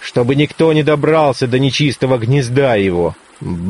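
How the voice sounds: Intonation here is lively. What we hear is a natural reading voice.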